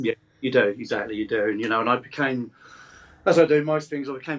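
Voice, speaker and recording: Very fast speech comes from a man at a medium pitch with fairly even intonation. Noticeable background noise is present. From Newmarket, England. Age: 40s. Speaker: fitness coach and endurance athlete. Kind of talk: podcast interview answer. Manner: soft-spoken.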